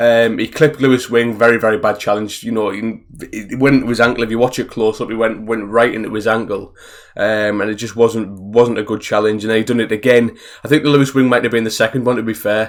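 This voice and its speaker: Speaking very fast with a Teesside accent, a man holds a medium pitch in a monotone, flat intonation. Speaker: football fan vlogger. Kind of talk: casual video review monologue.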